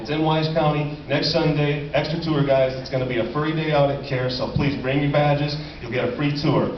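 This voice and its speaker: A man with a fairly high pitch talks at a fairly quick pace with hardly any pauses, with audible room echo and noticeable background noise. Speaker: animal sanctuary representative. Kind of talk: speech at a convention closing ceremony. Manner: loud; animated.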